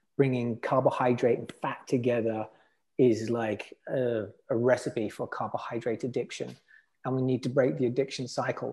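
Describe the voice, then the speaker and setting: Over a silent background in a very clean recording, a man with an English accent speaks at medium pitch in a dark, mellow tone with vocal fry. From England. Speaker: health entrepreneur. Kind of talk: interview.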